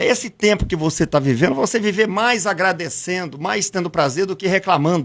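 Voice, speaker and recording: Speaking at a moderate pace with lively intonation, a man with a high voice comes through on a very clean recording with a silent background. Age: 60s. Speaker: local businessman. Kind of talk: interview.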